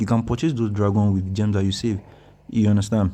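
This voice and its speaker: Speaking very fast with a Nigerian accent, a man keeps a fairly even intonation and a dark, mellow tone. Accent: Nigerian accent, noticeable. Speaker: mobile game guide YouTuber. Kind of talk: gameplay tutorial commentary. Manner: casual, hesitant with many fillers.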